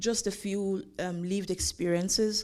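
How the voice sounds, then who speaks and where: A woman's dark, mellow tone at a moderate pace, with fairly even intonation, on a very clean recording with a silent background. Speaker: lawyer and conference speaker. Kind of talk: conference talk sharing lived experience. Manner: hesitant, many fillers.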